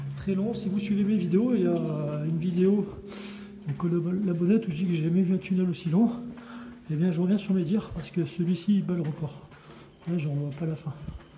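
A man talks in a high pitch at a fairly quick pace with fairly even intonation. Audible room echo and light background noise are present. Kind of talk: casual vlog commentary. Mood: cautious, a little wary. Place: tunnel cave. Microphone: phone near.

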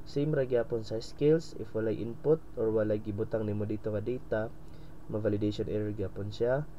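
Heard with an audible room echo, a man speaks at a moderate pace and a fairly low pitch with fairly even intonation. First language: Cebuano (speaking Tagalog). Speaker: coding tutorial presenter. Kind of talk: tutorial. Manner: halting, many fillers.

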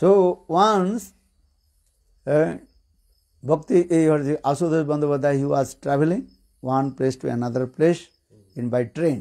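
Speaking very slowly with long, frequent pauses, a man with an Indian English accent has a dark, mellow tone, a fairly high pitch and ordinary pitch variation against a quiet background. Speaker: religious teacher. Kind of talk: lecture with consecutive translation. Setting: stage with audience. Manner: halting. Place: home room. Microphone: handheld.

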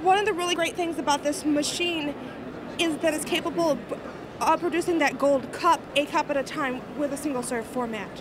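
The sound is dry with no echo, and noticeable background noise is present. The voice moves at a fairly quick pace with ordinary pitch variation. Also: woman, high pitch for a woman. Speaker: product demonstrator. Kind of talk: product demo explanation. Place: hall. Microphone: handheld.

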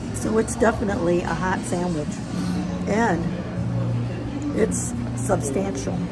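Clear background music behind a woman speaking. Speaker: food vlogger. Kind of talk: casual vlog chat. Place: bar. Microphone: phone near.

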